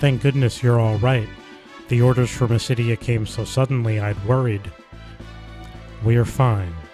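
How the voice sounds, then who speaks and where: Over background music, a man speaks at a moderate pace in a medium pitch, his intonation fairly even and his speech broken by long, frequent pauses. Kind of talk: reading a game's story and dialogue aloud. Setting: game sounds audible in the background. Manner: soft-spoken, calm.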